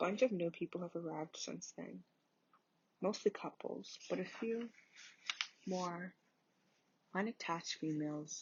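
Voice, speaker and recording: Soft-spoken and somewhat breathy, a woman with a fairly low voice speaks fairly slowly with ordinary pitch variation and long, frequent pauses. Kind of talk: ASMR book reading.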